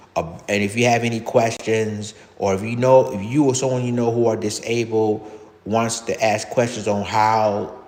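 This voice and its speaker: The pace is moderate. Audible room echo surrounds the voice. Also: man, medium pitch for a man. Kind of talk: live stream monologue. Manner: halting.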